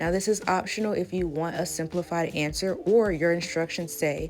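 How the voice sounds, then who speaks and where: Music plays behind a woman with a fairly low pitch. She speaks at a moderate pace with ordinary pitch variation. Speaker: math teacher. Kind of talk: math lesson narration.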